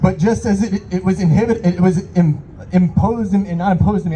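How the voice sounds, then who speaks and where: Here a man speaks at a very fast pace. His pitch is high, with ordinary variation. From Iran. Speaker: rally speaker, local business owner. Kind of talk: protest rally speech. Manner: impassioned.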